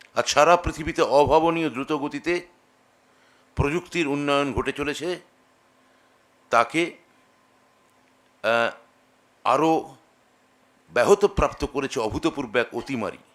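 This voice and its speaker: A man's fairly high voice, a plain, everyday voice, moves with ordinary pitch variation. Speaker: official giving a workshop address. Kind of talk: formal speech. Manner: formal.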